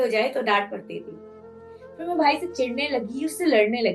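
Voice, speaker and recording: Over music in the background, a woman talks at a moderate pace with very wide pitch swings. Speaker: spoken word poet. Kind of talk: spoken word monologue. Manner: emotional.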